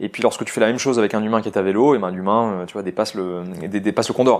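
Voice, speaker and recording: A man speaks very fast while his intonation stays fairly even. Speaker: data science manager. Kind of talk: interview. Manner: hesitant, many fillers.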